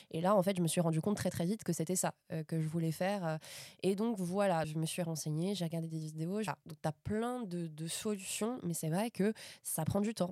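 A woman with a fairly low pitch and a dark, mellow tone talks at a moderate pace with ordinary pitch variation. The recording is very clean, with a silent background and a dry, close sound with no echo. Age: 20s. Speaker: advertising project manager and actress. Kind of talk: casual chat. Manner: hesitant, many fillers and repetitions.

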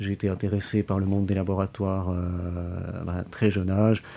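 A man's fairly low, dark and mellow voice at a moderate pace, in a monotone, flat intonation. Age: 20s. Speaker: biomedical lab technician. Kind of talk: interview. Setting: hospital laboratory.

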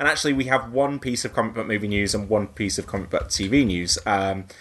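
A man talks at a moderate pace with a fairly low pitch and ordinary pitch variation, in an unremarkable speaking voice. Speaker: podcast host. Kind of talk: casual podcast chat about comic book movies.

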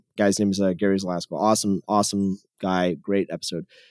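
A man with an American accent speaks in a fairly low pitch. The recording is very clean and dry, with a close sound, no echo and a silent background. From US West Coast, San Jose, California. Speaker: tech company founder. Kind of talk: casual interview. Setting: podcast interview.

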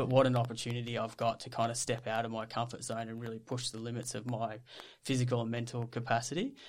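A man with an Australian accent talks at a very fast pace in a monotone, flat intonation, on a very clean recording with a silent background. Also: medium pitch for a man. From Australia, Victoria (Ballarat). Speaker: psychologist and ultra trail runner. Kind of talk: casual interview.

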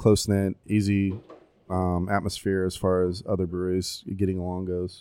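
A man with an American accent speaks at a very deep, low pitch in a monotone, flat intonation. His tone is dark and mellow, and the recording is very clean with a silent background. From Tampa, Florida. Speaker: brewery owner. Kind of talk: casual interview. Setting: brewery tap room. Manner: halting.

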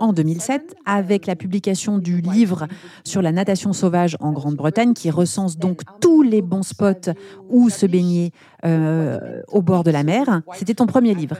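Noticeable background noise runs under this recording. A woman speaks with lively intonation. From eastern France, Besançon. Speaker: podcast host and brand founder. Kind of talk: interview.

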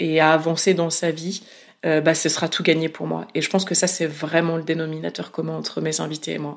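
In a very clean recording with a silent background, a woman with a fairly low pitch talks at a fairly quick pace. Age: 30s. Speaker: independent podcaster. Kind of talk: interview. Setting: home office.

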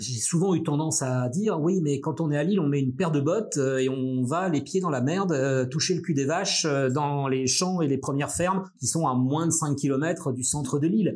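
A man at a fairly high pitch and moderate pace, very even loudness, ordinary pitch variation, hardly any pauses, noticeable background noise. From Brittany, near Brest. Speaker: journalism school director and radio journalist. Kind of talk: interview. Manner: hesitant, many fillers and repetitions.

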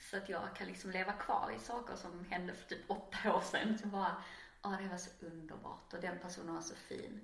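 A woman talks at a fairly quick pace, her pitch medium with ordinary variation. Noticeable background noise and audible room echo are present. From Skåne, southern Sweden. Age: 30s. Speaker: artist. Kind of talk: casual interview.

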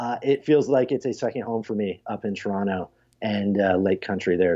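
A man's unremarkable speaking voice with ordinary pitch variation at a moderate pace. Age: 40s. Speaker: tech entrepreneur and podcaster. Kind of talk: casual interview.

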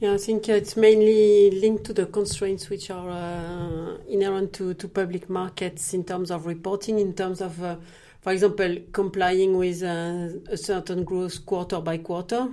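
On a very clean recording with a silent background, a woman speaks at medium pitch. Her tone is dark and mellow, her intonation monotone and flat. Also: moderate pace. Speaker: investment manager, former vet. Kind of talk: interview.

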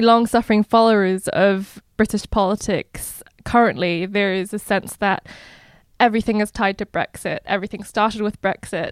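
Captured in a very clean recording with a silent background and a dry, close sound with no echo, a woman speaks at a moderate pace in a plain, everyday voice that is fairly high-pitched with ordinary pitch variation. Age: young. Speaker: podcast producer and interviewer. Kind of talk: interview.

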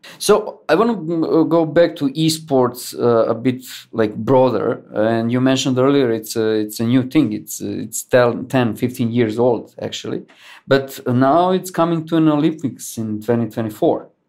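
Moderately paced speech from a man with an unremarkable speaking voice, pitched in the middle and varying normally. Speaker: podcast host. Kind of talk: interview.

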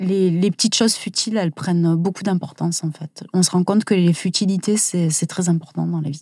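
A woman's fairly low, somewhat breathy voice at a fairly quick pace, with fairly even intonation, hardly any pauses, and a dry, close sound with no echo. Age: 40s. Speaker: stationery designer and comic author, cancer survivor. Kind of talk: interview. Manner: halting.

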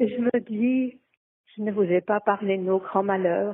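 A woman of medium pitch talks very slowly, her intonation fairly even. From French-speaking Switzerland. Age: 80s+. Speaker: interviewee. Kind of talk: voice message. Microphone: phone voice message.

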